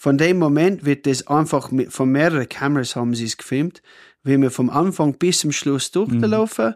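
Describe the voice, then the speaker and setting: In an Australian accent, a man speaks at a fairly high pitch with ordinary pitch variation, recorded very cleanly against a silent background with a dry, close sound and no echo. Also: moderate pace. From rural Australia (Cooma). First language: English (speaking German). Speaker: hotel owner. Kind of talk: casual chat.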